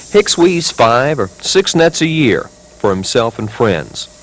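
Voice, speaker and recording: Noticeable background noise sits behind a man who speaks fairly slowly at a fairly high pitch with very wide pitch swings. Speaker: TV news reporter. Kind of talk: TV news feature voiceover and interview questions. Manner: measured, conversational storytelling.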